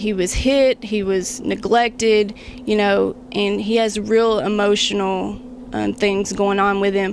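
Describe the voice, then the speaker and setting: With a Kentucky accent, a woman talks at a very slow pace and medium pitch in a monotone, flat intonation, with noticeable background noise. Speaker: beauty pageant contestant. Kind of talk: interview. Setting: library.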